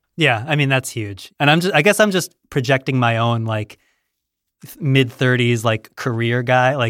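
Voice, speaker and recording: In a very clean recording with a silent background and a dry, close sound with no echo, a man speaks at a moderate pace and medium pitch in a normal speaking voice. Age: 30s. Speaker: podcast host. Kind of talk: casual interview chat. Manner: dry, jokey, self-deprecating.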